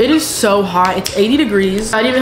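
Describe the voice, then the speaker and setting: A woman speaks with ordinary pitch variation. Clear music plays in the background. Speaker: lifestyle vlogger. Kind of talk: casual vlog chat. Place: home room. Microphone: camera far.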